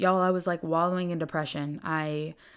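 A woman with a Southern US accent is heard on a very clean recording with a silent background. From US South, Greenville, South Carolina. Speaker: podcast host. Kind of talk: faith-based solo monologue. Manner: animated.

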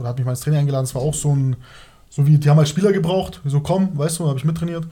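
A man speaks with ordinary pitch variation. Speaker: former professional footballer. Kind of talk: casual chat.

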